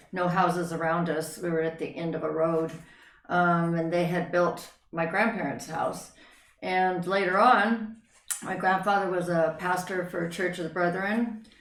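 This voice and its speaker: The speaker has an American accent and talks at a moderate pace with fairly even intonation, with audible room echo in the space. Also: woman, fairly low pitch for a woman. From Northern California, then Idaho. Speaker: interview guest. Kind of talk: life story interview.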